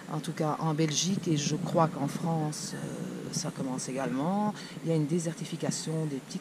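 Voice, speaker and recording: A woman's very deep, low voice with ordinary pitch variation, over noticeable background noise. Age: 60s. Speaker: shopkeeper. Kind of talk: interview.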